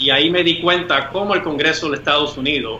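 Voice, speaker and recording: A man talks at a moderate pace with fairly even intonation. Noticeable background noise and audible room echo are present. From Puerto Rico. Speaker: lawyer and independence activist. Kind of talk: interview conversation. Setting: video call.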